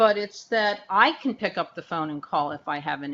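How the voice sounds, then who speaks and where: An ordinary speaking voice from a woman, medium in pitch, with lively intonation and a fairly quick pace. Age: 60s. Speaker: health plan executive. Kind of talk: webinar panel discussion. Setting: online webinar.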